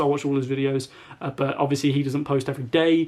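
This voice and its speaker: With a British accent, a man speaks very fast in a fairly high pitch, his intonation monotone and flat. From UK. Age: young. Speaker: YouTuber and gamer. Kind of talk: casual talk to camera. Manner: quiet.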